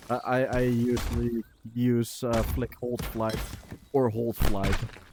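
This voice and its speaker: A man's medium-pitched, monotone, flat voice with a Dutch accent, at a very slow pace over noticeable background noise. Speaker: game streamer and coach. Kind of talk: casual coaching chat. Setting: VR game live stream. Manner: halting, many filler words.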